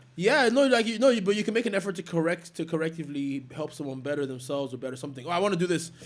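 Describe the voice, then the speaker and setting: A loud, animated man with a high pitch, lively intonation, a very fast pace and hardly any pauses. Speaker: dancer and fashion creative. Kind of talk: casual chat.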